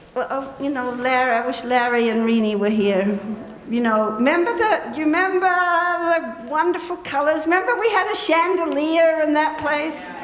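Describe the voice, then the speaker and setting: Amid noticeable background noise and audible room echo, a woman with a high pitch speaks at a moderate pace in an animated tone with very wide pitch swings. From New Zealand. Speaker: memorial speaker, old friend. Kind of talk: memorial tribute, personal reminiscence. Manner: animated, conversational.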